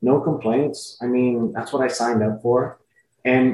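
Speaking at a very slow pace, a man with an American accent has a medium pitch, ordinary pitch variation and a dark, mellow tone. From Laredo, Texas. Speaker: ring announcer. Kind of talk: interview conversation. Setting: video call.

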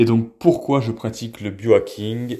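A man with a medium-pitched, dark and mellow voice talks at a very slow pace. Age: 30s. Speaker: wellness content creator. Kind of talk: casual monologue to camera. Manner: hesitant, with fillers.

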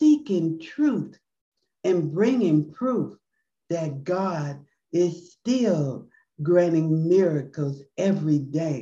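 At a very slow pace, a woman with a fairly low pitch and a dark, mellow tone sounds somewhat breathy, her intonation lively. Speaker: podcast host. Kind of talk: podcast hosting, closing prayer.

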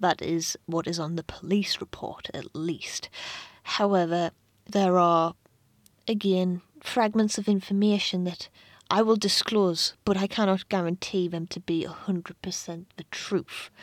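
A woman with a British accent speaks at medium pitch and a fairly slow pace in a monotone, flat delivery. The recording is very clean with a silent background, and the sound is dry and close with no echo. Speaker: true crime podcaster. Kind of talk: true-crime narration. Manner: grave, measured storytelling; conversational, with asides and fillers.

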